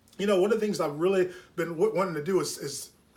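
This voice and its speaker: Over noticeable background noise, a man with a high pitch talks at a very fast pace. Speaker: network marketing team leader. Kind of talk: training talk.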